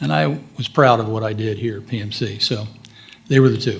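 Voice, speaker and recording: A man talks fairly quickly, his voice somewhat breathy and his pitch moving with ordinary variation. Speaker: military college alumnus panelist. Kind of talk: panel discussion recollections.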